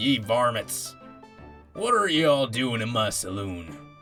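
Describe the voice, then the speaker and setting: Over clear background music, a man puts on a character voice at a fairly slow pace. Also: medium pitch for a man. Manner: staying in character, gruff.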